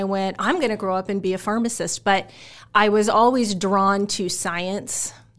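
A woman with an American accent speaks at a fairly slow pace in a plain, everyday voice. Her pitch is medium and her intonation fairly even, against a quiet background. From Omaha, Nebraska (US Midwest). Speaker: pharmacy professor. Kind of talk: interview.

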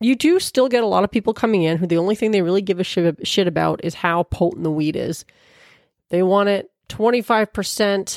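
Here is a woman at a medium pitch and fairly quick pace, with ordinary pitch variation and a plain, everyday voice. The recording is dry and close with no echo, very clean, over a silent background. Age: 40s. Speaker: podcast host. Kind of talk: casual chat.

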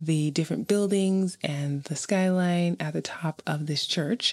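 In a New York accent, a woman talks at a fairly slow pace with fairly even intonation on a very clean recording with a silent background. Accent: New York American. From Brooklyn, New York. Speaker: podcaster and YouTuber. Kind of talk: travel narration.

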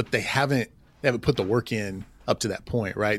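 A man speaks in a Southern US accent at a fairly low pitch. The sound is dry and close with no echo, in a very clean recording with a silent background. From Oklahoma. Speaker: assistant principal. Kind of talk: casual interview.

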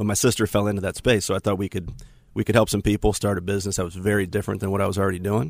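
This man's pitch is fairly low, and his intonation is monotone and flat. He speaks at a very fast pace. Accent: American. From Florida. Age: 40s. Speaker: investment manager and business founder. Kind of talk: casual interview. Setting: studio.

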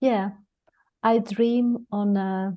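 With a Greek accent, a woman speaks in a dark, mellow tone and fairly even intonation. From Greece. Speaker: dentist and lecturer. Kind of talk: interview, conversational. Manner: quiet, measured.

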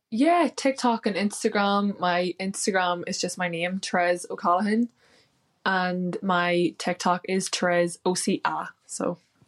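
At a fairly slow pace, a woman with a Northern Irish accent speaks at medium pitch with ordinary pitch variation, in a very clean recording with a silent background and a dry, close sound with no echo. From Northern Ireland. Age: 20s. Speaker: weight loss success story guest, hotel worker. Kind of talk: interview, personal story.

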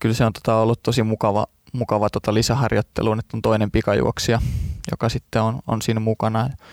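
The speech comes very fast in a flat monotone, with very even loudness and a dry, close sound with no echo. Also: man, medium pitch for a man. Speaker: sprinter. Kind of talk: interview. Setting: studio. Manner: halting, many fillers.

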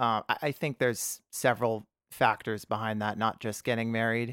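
Here a man speaks with an American accent and a plain, everyday voice at medium pitch. His pace is moderate, and the sound is dry and close with no echo. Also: very clean recording, silent background. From US, San Francisco Bay Area. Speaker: cartoonist and author. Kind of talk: casual chat.

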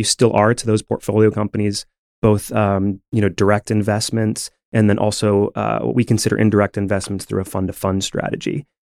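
Recorded dry and close with no echo on a very clean track with a silent background, a man with an American accent speaks in a plain, everyday voice at a fairly low pitch and a fairly quick pace. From upstate New York, Rochester. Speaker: economic development program director, former Broadway performer. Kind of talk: podcast interview.

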